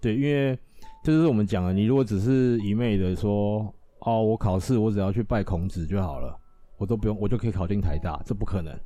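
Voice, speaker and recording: A man talks at a fairly quick pace with a fairly low pitch and lively intonation while music plays in the background. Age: young. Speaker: temple volunteer scribe. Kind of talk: casual interview chat.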